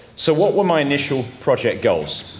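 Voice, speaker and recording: Lively intonation carries the words at a moderate pace, delivered with an English accent. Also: man. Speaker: amateur radio presenter. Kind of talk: technical talk. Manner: halting.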